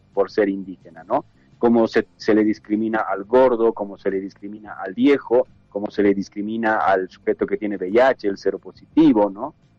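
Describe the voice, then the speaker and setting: Music plays in the background while someone talks at a moderate pace. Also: man. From Bolivia. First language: Quechua (speaking Spanish). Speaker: activist. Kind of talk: interview. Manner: halting.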